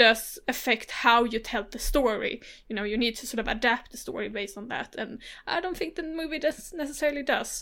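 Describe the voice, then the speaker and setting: A woman's high, bright, sharp voice with a Swedish accent, lively intonation, big swings in loudness and a moderate pace, on a very clean recording with a silent background. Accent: Blekinge Swedish, throaty R. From Sweden, Blekinge. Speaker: film podcast co-host. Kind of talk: casual chat.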